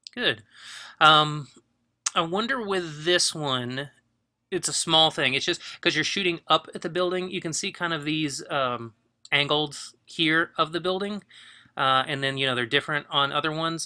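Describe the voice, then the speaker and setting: A man talks at a fairly high pitch in a bright, sharp tone with ordinary pitch variation. The recording is very clean, with a silent background. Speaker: photography teacher. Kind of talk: critique of student work. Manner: fast; casual, hesitant with fillers.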